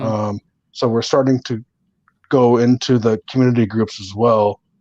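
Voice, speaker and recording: The speaker has an American accent and a monotone, flat intonation at a moderate pace. The sound is dry and close with no echo, and the loudness swings widely. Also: man, medium pitch for a man. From Southern California. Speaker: real estate and solar entrepreneur. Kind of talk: interview answer.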